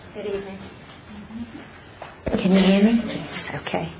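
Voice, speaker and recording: The clip carries noticeable background noise along with audible room echo. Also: woman. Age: 80s+. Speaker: resident speaking at public comment. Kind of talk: public comment at council meeting. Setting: town council meeting with audience.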